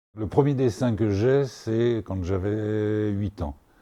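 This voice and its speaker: A man's fairly low, dark, mellow voice at a very slow pace, with ordinary pitch variation. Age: 70s. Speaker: painter. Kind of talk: interview. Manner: halting.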